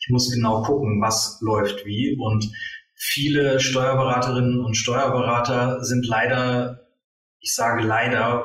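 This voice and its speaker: Here is a man with a medium pitch. His intonation is monotone and flat. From northern Germany. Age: 40s. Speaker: tax advisor and coach. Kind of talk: interview. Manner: hesitant with many fillers.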